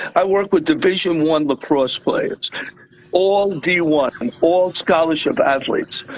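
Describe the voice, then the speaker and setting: Noticeable background noise sits behind a man with a high voice speaking at a fairly slow pace. His loudness stays very even, and his pitch varies an ordinary amount. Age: 60s. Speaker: weight-cut and conditioning coach. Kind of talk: casual chat.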